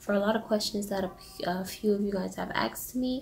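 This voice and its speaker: A woman whispers quietly at a fairly quick pace. Noticeable background noise can be heard. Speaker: vlogger. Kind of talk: casual vlog Q&A. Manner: whispering, quiet; hesitant, many fillers.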